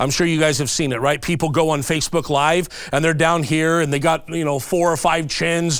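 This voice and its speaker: Speaking in an American accent, a man with a high voice uses an animated tone. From California. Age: 40s. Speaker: activist speaker on social media. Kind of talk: instructional talk. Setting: studio. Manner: fast.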